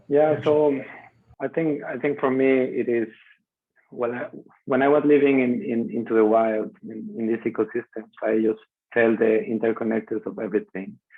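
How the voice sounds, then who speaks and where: With a Spanish accent, a man talks at medium pitch and a moderate pace. His intonation is lively. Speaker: biomimicry practitioner and content creator. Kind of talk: video call discussion. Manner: halting.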